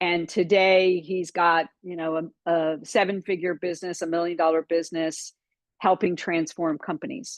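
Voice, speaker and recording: At a moderate pace, a woman with a slight Texan accent speaks in a fairly low pitch with fairly even intonation. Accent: slight Texan twang. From Florida. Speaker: business coach. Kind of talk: webinar training talk.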